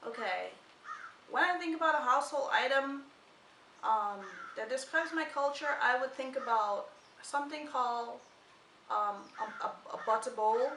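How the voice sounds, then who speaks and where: In a room with audible echo, a woman projects a high-pitched voice with lively intonation at a moderate pace, broken by long, frequent pauses. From Guyana, West Coast countryside. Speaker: vlogger. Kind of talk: casual chat.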